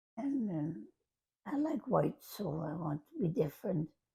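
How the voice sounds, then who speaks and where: A woman's dark, mellow, somewhat breathy voice with very wide pitch swings. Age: 80s+. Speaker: grandmother. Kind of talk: interview answer.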